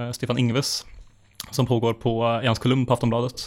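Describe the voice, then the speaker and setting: Here a man talks at a medium pitch. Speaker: podcast co-host. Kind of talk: casual chat about economics.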